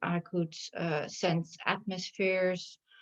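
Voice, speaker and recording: The recording is dry and close, with no echo. A woman speaks at a medium pitch in a monotone, flat way. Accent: Dutch. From Netherlands. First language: Dutch. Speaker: shamanic healer. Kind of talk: interview.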